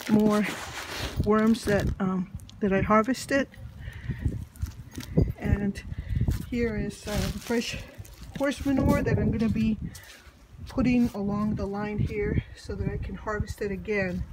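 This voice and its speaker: Fairly slow speech with long, frequent pauses against loud background noise. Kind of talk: casual vlog chat. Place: garden. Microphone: phone near.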